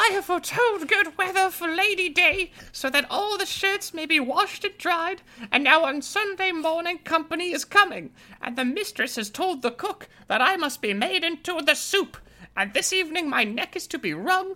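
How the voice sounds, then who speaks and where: This put-on character voice is extremely high-pitched. It moves at a moderate pace. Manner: crowing.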